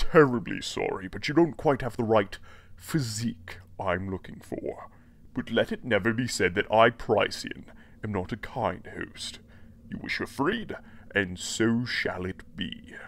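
A man in a put-on character voice, medium pitch, moderate pace. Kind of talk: audio drama villain. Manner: smug, courtly, menacing.

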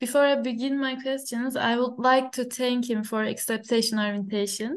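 A high-pitched woman speaks at a moderate pace with fairly even intonation. The background is quiet. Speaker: interviewer, audiology academic. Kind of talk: interview. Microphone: video call.

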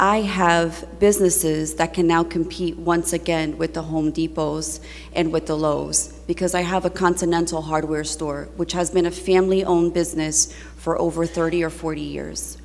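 At a moderate pace, a woman speaks with a New Jersey accent. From Newark, New Jersey (Ironbound). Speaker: state legislator. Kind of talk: floor speech. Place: hall. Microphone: podium.

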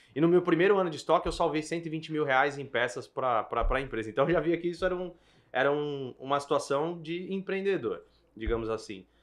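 A man speaks with an unremarkable speaking voice. His pitch is fairly high and varies in an ordinary way. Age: 30s. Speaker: event bartending business owner. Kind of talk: casual business podcast chat.

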